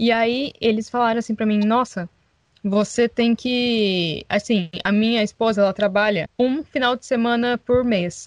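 An unremarkable speaking voice moves at a fairly slow pace with fairly even intonation, in a dry, close sound with no echo. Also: woman, fairly high pitch for a woman. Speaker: podcast co-host, former au pair. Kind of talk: casual chat.

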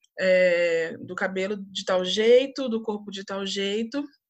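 A woman speaks at a medium pitch. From Brazil, Volta Redonda (Rio de Janeiro state). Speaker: TV station worker, communications graduate. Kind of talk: casual interview. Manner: halting, many fillers.

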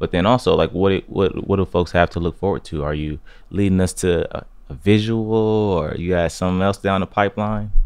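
This man has a normal speaking voice with fairly even intonation and a fairly low pitch. He talks at a fairly quick pace. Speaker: interviewer. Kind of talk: casual interview. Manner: casual.

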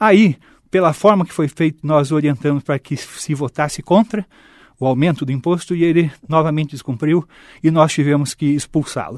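A plain, everyday voice at a moderate pace, in a very clean recording with a silent background and a dry, close sound with no echo. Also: man. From Londrina, Paraná, Brazil. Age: 50s. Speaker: mayoral candidate. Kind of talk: interview.

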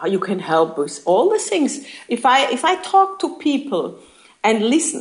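A woman with a German accent speaks at a fairly slow pace over noticeable background noise. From Germany. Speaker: network marketing leader. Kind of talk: interview. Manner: halting.

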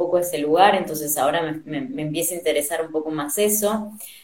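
In a Rioplatense accent, a woman with a fairly low pitch and ordinary pitch variation speaks amid audible room echo. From Argentina. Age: 30s. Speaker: dancer. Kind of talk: interview.

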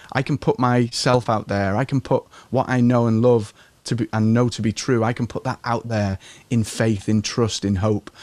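A man with an English accent speaks at medium pitch and a moderate pace, in a monotone, flat intonation. The sound is dry and close with no echo, a very clean recording with a silent background. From England. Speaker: business and marketing coach. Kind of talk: interview. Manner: calm.

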